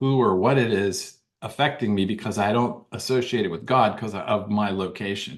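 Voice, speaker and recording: An unremarkable speaking voice from a man with an American accent, at a moderate pace with ordinary pitch variation. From Washington DC area, US. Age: 60s. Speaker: author and former police officer. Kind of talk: interview storytelling.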